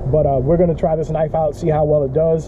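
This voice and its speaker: Very fast, monotone speech with flat intonation and noticeable background noise. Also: man. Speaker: fishing vlogger. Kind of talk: casual vlog chat. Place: garden. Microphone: phone near.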